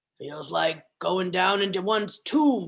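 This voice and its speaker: A woman growls in a put-on character voice at a medium pitch. She talks at a fairly slow pace with lively intonation. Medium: read story. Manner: archaic, imperious speech.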